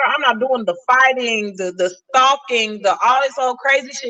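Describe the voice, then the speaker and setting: A woman speaks in a raised, projected voice with a high pitch and an animated tone, using ordinary pitch variation. Noticeable background noise runs underneath. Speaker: podcast guest. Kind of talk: casual chat. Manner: loud.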